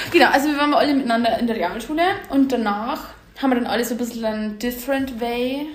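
At a very fast pace and a high pitch, a woman talks with ordinary pitch variation amid noticeable background noise and audible room echo. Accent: Bavarian. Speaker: podcast co-host. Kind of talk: casual chat. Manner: laughs often.

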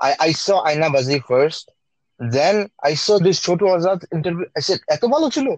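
A high-pitched man at a fairly quick pace, lively in intonation, very even in loudness, dry and close with no echo. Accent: Bengali. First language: Bengali. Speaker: podcast co-host. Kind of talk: casual chat.

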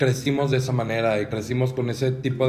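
Music plays in the background, and the room has an audible echo. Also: man. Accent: Mexican. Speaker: podcast co-host. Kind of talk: casual chat.

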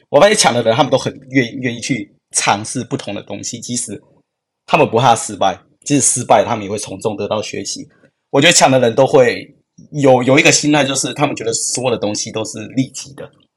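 A man with a normal speaking voice, medium in pitch, at a fairly quick pace, with ordinary pitch variation and big swings in loudness. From Taiwan, Yunlin. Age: 20s. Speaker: product designer. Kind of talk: interview conversation.

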